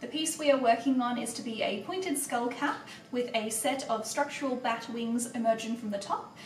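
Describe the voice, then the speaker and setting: A woman's fairly high voice, with ordinary pitch variation, moves at a moderate pace amid noticeable background noise. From Australia. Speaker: milliner and costumier. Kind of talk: craft tutorial narration.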